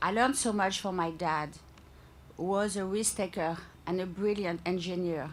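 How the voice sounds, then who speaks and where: In a strong French accent, a woman speaks at a fairly slow pace with a medium pitch. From France. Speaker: company founder. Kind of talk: public speech. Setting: public event with live audience, microphone. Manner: slow, deliberate.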